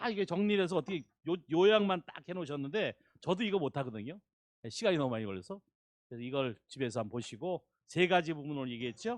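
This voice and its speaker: Speaking at a very fast pace, a man has a fairly high voice. His pitch swings very widely. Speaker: visiting pastor. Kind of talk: sermon. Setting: church.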